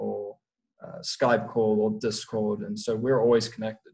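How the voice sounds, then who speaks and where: A man with a South African accent at a fairly slow pace, medium pitch and monotone, flat intonation, with music in the background. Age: young. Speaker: professional prop trader. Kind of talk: casual interview chat.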